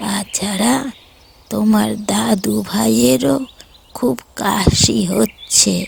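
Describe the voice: At a very slow pace, a cartoonish character voice with a low-to-middle pitch swings very widely in pitch.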